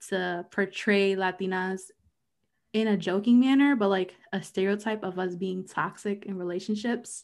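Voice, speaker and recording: With fairly even intonation, a woman speaks in a plain, everyday voice at a medium pitch. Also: very clean recording, silent background. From US East Coast, half Mexican heritage. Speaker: podcast co-host. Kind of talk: casual chat.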